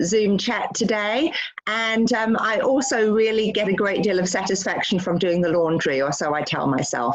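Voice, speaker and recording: Noticeable background noise and audible room echo surround a woman with a fairly high voice. She speaks at a moderate pace with ordinary pitch variation. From London, England. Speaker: doctor. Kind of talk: interview on a video call. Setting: video call.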